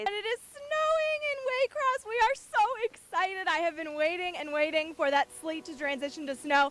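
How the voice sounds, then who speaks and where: With hardly any pauses and at a moderate pace, a woman speaks at an extremely high pitch with very wide pitch swings over noticeable background noise. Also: dry, close sound with no echo. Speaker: TV meteorologist. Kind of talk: live field report. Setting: outdoors.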